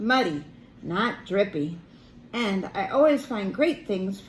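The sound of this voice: Lively intonation in an unforced reading voice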